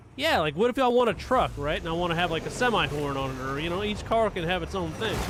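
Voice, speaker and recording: Over noticeable background noise, a man talks very fast in a high pitch with lively intonation. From US West Coast. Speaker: gaming livestreamer. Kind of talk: casual livestream chat while gaming. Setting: live stream. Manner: casual, filler-heavy.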